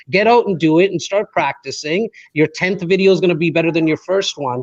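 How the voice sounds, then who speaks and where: An energetic man with a high pitch at a fairly quick pace, in a dry, close sound with no echo. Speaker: podcast host. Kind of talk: panel discussion. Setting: Facebook live video panel.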